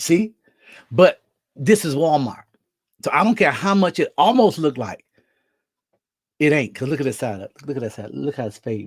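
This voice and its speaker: A man speaks fairly high, with an animated tone and very wide pitch swings. His pace is moderate, broken by long, frequent pauses. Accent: American. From Mississippi. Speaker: livestream host and preacher. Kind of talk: casual livestream chat.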